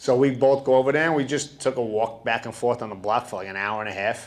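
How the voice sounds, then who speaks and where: With a New York accent, a man talks in an animated tone and ordinary pitch variation. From Bronx, New York. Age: 30s. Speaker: studio founder. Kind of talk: interview.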